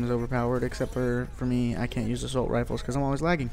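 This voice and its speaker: A man's medium-pitched voice at a very fast pace. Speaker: gaming YouTuber. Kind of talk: gameplay commentary.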